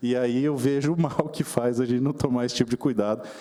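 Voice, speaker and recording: A man's intonation stays fairly even. Behind him, noticeable background noise persists. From Mato Grosso do Sul, Brazil (Dourados). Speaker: politician. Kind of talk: formal speech at a seminar. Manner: formal, measured.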